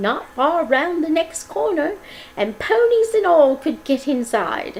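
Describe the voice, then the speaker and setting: A woman puts on a character voice, pitched high with very wide swings and delivered at a fairly slow pace. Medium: read story.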